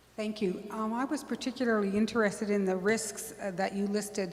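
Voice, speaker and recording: Noticeable background noise and audible room echo surround a woman's voice. She speaks at a moderate pace with fairly even intonation. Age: 60s. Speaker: audience member asking questions. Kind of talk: audience Q&A question. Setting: public talk with audience.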